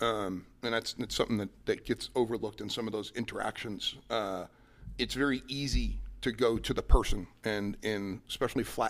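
At a moderate pace and medium pitch, a man speaks with vocal fry and fairly even intonation in a very clean recording with a silent background. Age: 40s. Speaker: company president, former Marine. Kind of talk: interview. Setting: conference center in new office building.

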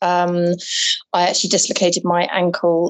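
With an English accent, a woman talks at a moderate pace. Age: 40s. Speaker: bookseller and artist. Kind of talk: interview.

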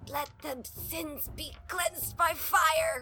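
A female-sounding put-on character voice speaks at an extremely high pitch and a very slow pace. Hissing and clear background noise can be heard. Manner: hissing, gasping.

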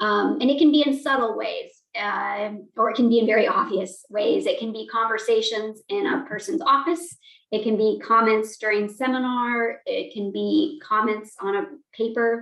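A normal speaking voice with an American accent, lively intonation and a moderate pace. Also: woman, fairly high pitch for a woman. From Montana, US. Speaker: communication professor. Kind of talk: interview.

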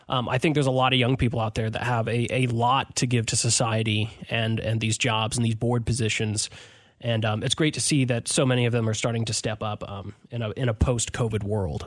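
A man of medium pitch talks at a fairly quick pace with fairly even intonation. The background is quiet. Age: 20s. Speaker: local news reporter, podcast host. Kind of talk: casual news discussion. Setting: radio station studio.

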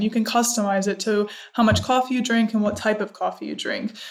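Fairly high pitch and fairly even intonation from a woman with an American accent, at a moderate pace, with noticeable background noise. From US Midwest, Cleveland, Ohio. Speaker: startup co-founder. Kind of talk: interview.

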